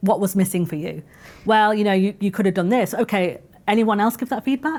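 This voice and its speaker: This voice moves at a fairly quick pace with ordinary pitch variation. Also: woman, medium pitch for a woman. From northern England, Manchester. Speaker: podcast co-host, internal communications professional. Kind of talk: live podcast discussion. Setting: live stage with audience. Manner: fast.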